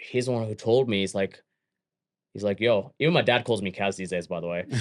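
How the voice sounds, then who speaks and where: In a very clean recording with a silent background, a man with an Australian accent speaks with ordinary pitch variation. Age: 30s. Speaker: gym owner and fitness entrepreneur. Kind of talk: casual interview chat.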